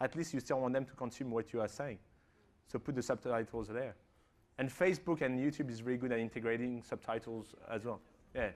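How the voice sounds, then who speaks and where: Speaking at a fairly quick pace, a man uses a medium pitch and ordinary pitch variation. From France. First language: French. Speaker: digital marketing expert. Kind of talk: conference Q&A. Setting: conference stage with audience. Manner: fast, with many fillers and restarts.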